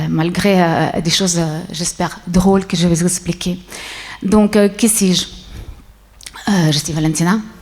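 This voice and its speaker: Noticeable background noise runs through the clip. A woman speaks at a fairly slow pace. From Switzerland. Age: 60s. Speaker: businesswoman, conference speaker. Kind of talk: conference talk. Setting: stage with audience. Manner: hesitant, many fillers.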